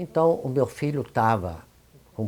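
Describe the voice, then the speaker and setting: Ordinary pitch movement in a man's somewhat breathy voice, dark and mellow in tone. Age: 80s+. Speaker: spiritist leader and homeopath. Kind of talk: interview testimony. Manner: halting.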